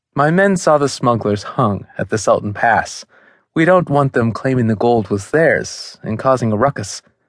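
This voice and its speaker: A man in a plain, everyday voice, with lively intonation at a moderate pace over a quiet background. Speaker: audiobook narrator.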